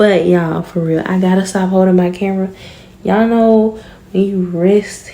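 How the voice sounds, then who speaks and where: A woman talks at a fairly slow pace with fairly even intonation. Noticeable background noise runs underneath. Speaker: vlogger. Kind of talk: casual vlog talk. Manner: quieter than usual, inside voice; normally loud.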